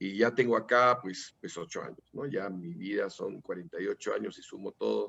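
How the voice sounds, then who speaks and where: A man is speaking. His pace is moderate. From Peru. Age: 60s. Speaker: political candidate. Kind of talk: interview. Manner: halting.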